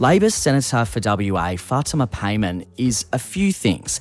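A man with an Australian accent, medium-pitched and upbeat, with very wide pitch swings at a fairly slow pace. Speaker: youth radio host. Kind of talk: radio chat show.

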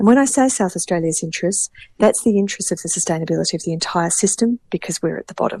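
At a very fast pace, a woman speaks in a dark, mellow, somewhat breathy tone with a dry, close sound and no echo. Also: medium pitch for a woman, ordinary pitch variation. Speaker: state water minister. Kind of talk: radio interview answers on policy.

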